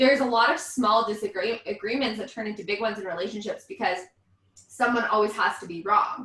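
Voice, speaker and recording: A woman with a fairly high pitch, very fast and animated, her pitch varying in an ordinary way. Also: big swings in loudness. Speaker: vocal coach. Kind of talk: casual chat. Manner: loud.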